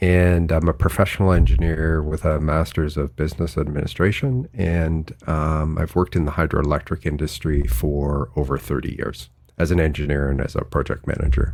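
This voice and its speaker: A man with a Canadian accent, very deep and low in pitch, with ordinary pitch variation, a moderate pace, hardly any pauses, and noticeable background noise. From Canada, near Vancouver. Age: 60s. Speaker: author and engineer. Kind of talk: interview.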